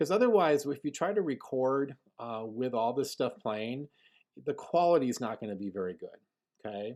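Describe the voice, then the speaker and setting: The intonation is lively, delivered at a moderate pace. It is a normal speaking voice. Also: man, medium pitch for a man. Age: 40s. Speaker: middle school band teacher. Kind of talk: tutorial.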